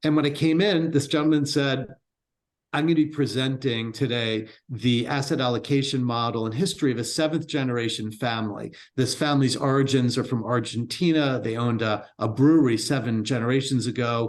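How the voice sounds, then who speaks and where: An ordinary speaking voice with an American accent, ordinary pitch variation and a fairly quick pace. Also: man, medium pitch for a man. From Baltimore, US. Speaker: entrepreneur and wealth firm co-founder. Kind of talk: interview conversation.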